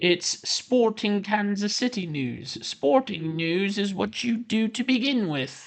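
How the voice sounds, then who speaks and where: In a put-on character voice with a British accent, the speaker goes at a fairly slow pace with hardly any pauses and a fairly high pitch. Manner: exaggerated, deliberately bad imitation.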